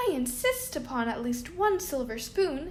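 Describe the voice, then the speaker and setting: A woman's put-on character voice, high in pitch, at a moderate pace over clear background noise. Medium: read story.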